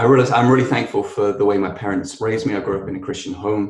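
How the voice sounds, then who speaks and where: Somewhat breathy and medium in pitch, a man speaks at a fairly quick pace. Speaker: podcast co-host.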